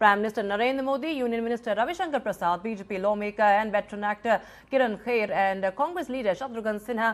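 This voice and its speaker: A woman speaks extremely quickly. Music can be heard behind her. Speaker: news anchor. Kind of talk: TV news bulletin read.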